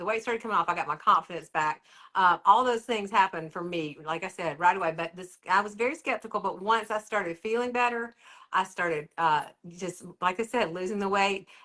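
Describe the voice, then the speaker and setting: A woman's normal speaking voice, medium in pitch with ordinary pitch variation, at a fairly quick pace on a very clean recording with a silent background. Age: 60s. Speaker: interviewee sharing weight loss story. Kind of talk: interview testimony.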